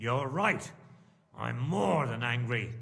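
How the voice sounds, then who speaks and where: A man's growling, put-on character voice at medium pitch with ordinary pitch variation and audible echo. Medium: video game. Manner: forceful, commanding.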